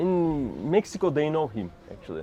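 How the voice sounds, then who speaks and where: With a Turkish accent, a man speaks at a moderate pace in a fairly high pitch. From Turkey, Istanbul. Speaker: interviewee, traveler. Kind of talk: interview. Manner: halting.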